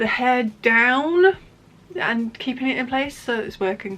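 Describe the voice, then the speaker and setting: Speaking very slowly in a Somerset accent, a woman uses a fairly high pitch and lively intonation. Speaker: knitting podcaster and yarn dyer. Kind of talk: casual chat. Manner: halting, many fillers and restarts.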